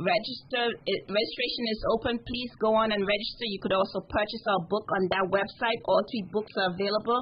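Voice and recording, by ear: Here is a woman with a plain, everyday voice and a fairly high pitch. She keeps a moderate pace with hardly any pauses.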